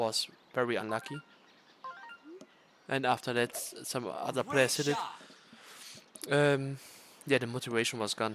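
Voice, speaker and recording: Moderate-paced speech from a man with fairly even intonation, noticeable background noise behind him. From Germany. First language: German. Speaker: video game streamer. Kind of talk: casual livestream commentary. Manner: hesitant, many fillers.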